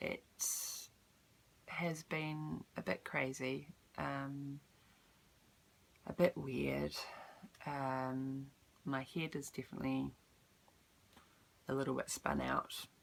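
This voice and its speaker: In a New Zealand accent, a woman talks at a very slow pace, with long, frequent pauses. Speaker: vlogger. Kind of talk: casual vlog update. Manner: hesitant, many ums.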